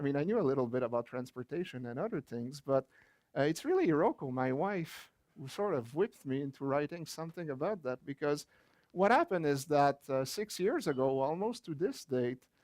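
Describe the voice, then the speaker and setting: Recorded dry and close with no echo, a man with a fairly high pitch talks fairly quickly with lively intonation. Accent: French Canadian. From rural Quebec, Canada. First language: French. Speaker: geography professor and author. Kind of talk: book launch talk.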